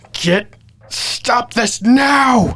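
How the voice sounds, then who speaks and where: Someone uses a put-on character voice with a fairly high pitch. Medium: actual play.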